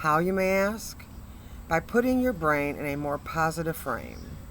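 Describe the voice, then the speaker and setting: At a fairly slow pace, a woman speaks in a very deep, low pitch with vocal fry and very wide pitch swings. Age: 60s. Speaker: motivational speaker, cancer patient. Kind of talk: testimony.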